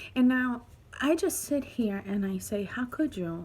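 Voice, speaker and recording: Very wide pitch swings at a fairly slow pace, somewhat breathy. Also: woman. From Dominican Republic. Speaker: vlogger and single mother. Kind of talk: personal testimony vlog. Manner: hesitant, many fillers.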